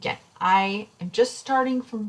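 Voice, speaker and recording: A somewhat breathy woman's voice with ordinary pitch variation. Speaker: statistics instructor. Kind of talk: recorded lecture tutorial. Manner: fast; casual, with fillers.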